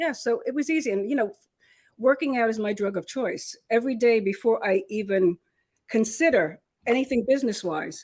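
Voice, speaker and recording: A woman talks in a normal speaking voice, fairly high-pitched, with lively intonation at a moderate pace. The recording is very clean, with a silent background. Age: 60s. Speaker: entrepreneur. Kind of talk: casual chat. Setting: restaurant.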